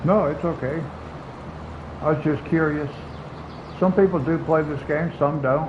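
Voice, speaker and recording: The speech moves at a moderate pace with fairly even intonation and long, frequent pauses, with audible room echo and noticeable background noise. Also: man, fairly high pitch for a man. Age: 60s. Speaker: gaming streamer. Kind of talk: casual live-stream chat. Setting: home live stream, air conditioner running.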